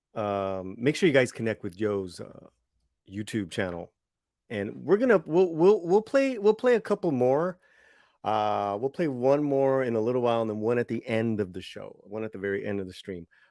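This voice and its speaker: A man with an American accent speaks in a dark, mellow tone at a medium pitch, with very wide pitch swings and big swings in loudness. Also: moderate pace. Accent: American accent when speaking Spanish. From Los Angeles, US. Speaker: livestream show host. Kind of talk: casual livestream chat. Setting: online livestream. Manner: halting, many fillers and repeats.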